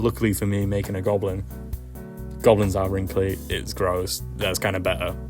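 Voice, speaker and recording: The speech moves at a moderate pace with lively intonation. Music plays in the background. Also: man. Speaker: puppet maker and film director. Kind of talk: casual tutorial voice-over. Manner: casual, rambling, hesitant.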